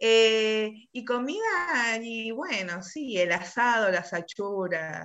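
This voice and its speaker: Her speech moves at a very slow pace with hardly any pauses. This woman has a fairly high pitch and lively intonation. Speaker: politician. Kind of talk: interview. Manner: halting.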